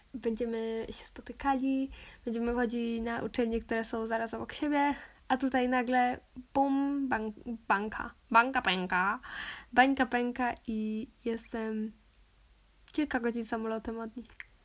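A woman's fairly high voice with monotone, flat intonation at a fairly slow pace and with long, frequent pauses, on a very clean recording with a silent background. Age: 20s. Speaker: podcaster. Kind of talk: casual monologue.

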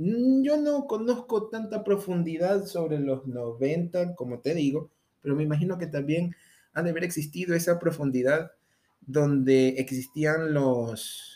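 A man's dark, mellow voice, fairly high in pitch, with lively intonation at a very slow pace. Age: 20s. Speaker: podcast host. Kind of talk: casual monologue.

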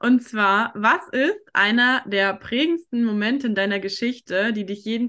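A woman's medium-pitched voice with a bright, sharp tone, ordinary pitch variation and a fairly slow pace. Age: 20s. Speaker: podcast host and life coach. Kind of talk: casual interview chat. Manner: animated.

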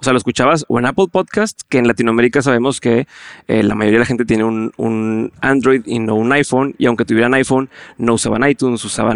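Someone with a northern Mexican accent talks at a very fast pace, the sound dry and close with no echo. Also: man. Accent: northern Mexican (Monterrey) Spanish. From northern Mexico, Monterrey. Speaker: entrepreneur and podcaster. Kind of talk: interview conversation. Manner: direct.

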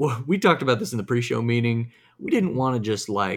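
A voice with a Southern US accent and lively intonation, in a very clean recording with a silent background. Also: man. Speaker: podcast host. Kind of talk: casual chat.

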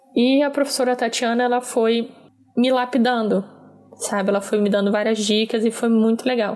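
Over noticeable background noise, a woman with a fairly high pitch speaks at a moderate pace, her loudness very even and her intonation monotone and flat. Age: 20s. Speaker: political consultant. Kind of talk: personal testimony.

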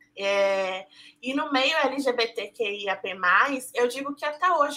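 The woman's high-pitched voice has a bright, sharp tone. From Brazil, Salvador (Bahia). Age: 20s. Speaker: journalist. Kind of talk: casual chat.

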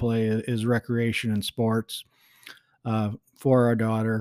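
Speech comes at a moderate pace. The recording is very clean with a silent background. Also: man. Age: 40s. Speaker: podcast host sharing divorce experience. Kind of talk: solo podcast monologue. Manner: many filler words and hesitations.

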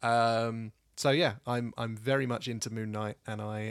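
A man speaks at a medium pitch with a British accent. The recording is dry and close, with no echo. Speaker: podcast co-host. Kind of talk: casual chat.

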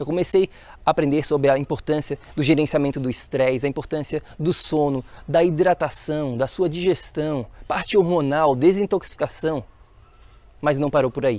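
A man talks at a moderate pace in a fairly high pitch. His pitch varies in an ordinary way. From Florianópolis, Santa Catarina, southern Brazil. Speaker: health coach, podcast host. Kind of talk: solo podcast monologue, personal story. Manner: animated, enthusiastic.

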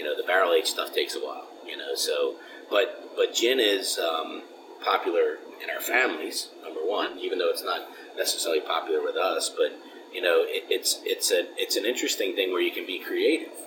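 A man with an American accent speaks at an extremely high pitch, using ordinary pitch variation over noticeable background noise. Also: fairly quick pace. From Philadelphia. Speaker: craft distillery co-owner. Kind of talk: casual interview. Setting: at a distillery.

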